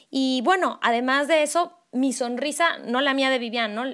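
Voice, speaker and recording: Pitched high, a woman talks with ordinary variation in her pitch. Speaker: podcast co-host, voice professional. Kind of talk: casual chat.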